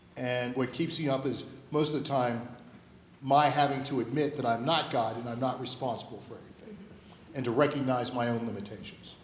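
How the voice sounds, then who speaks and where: A man speaks at a fairly quick pace and medium pitch, with fairly even intonation but big swings in loudness. Noticeable background noise and audible room echo fill the recording. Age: 60s. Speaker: school head and pastor. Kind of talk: interview Q&A at a school assembly. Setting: stage with audience.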